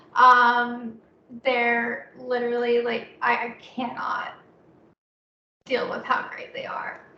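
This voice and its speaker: Audible room echo surrounds a woman who speaks at a very slow pace with long, frequent pauses and big swings in loudness. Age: 20s. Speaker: poet. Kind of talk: poetry reading. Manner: halting.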